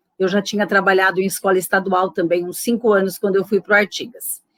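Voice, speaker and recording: A woman with a São Paulo interior accent, in a dry, close sound with no echo. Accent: caipira accent from interior São Paulo. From interior of São Paulo state, Brazil. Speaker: retired educator, popular education worker. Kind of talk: interview.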